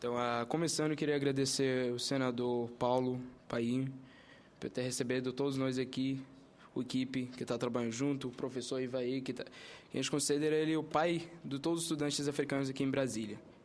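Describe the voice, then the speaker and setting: A man talks at a fairly quick pace with an Arabic accent. His intonation is monotone and flat. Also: medium pitch for a man. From Sudan. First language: Arabic (speaking Portuguese). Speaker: university student. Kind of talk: formal presentation at a hearing. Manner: halting.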